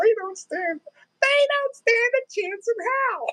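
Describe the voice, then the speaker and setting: A woman puts on a character voice with an extremely high pitch, speaking at a fairly slow pace. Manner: silly, funny.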